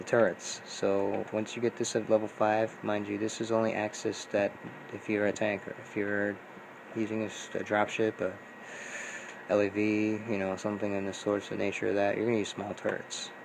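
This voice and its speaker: The intonation is monotone and flat, with noticeable background noise behind it. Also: man, fairly low pitch for a man. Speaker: gaming YouTuber. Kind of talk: tutorial. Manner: fast; casual, filler-heavy.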